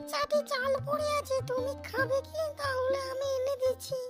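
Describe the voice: A woman performs a cartoonish character voice at a fairly slow pace. Faint music plays in the background.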